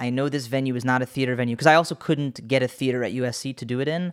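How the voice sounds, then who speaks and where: On a very clean recording with a silent background, a man with a normal speaking voice talks at a medium pitch and fairly quick pace with ordinary pitch variation. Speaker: podcast host. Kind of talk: interview conversation.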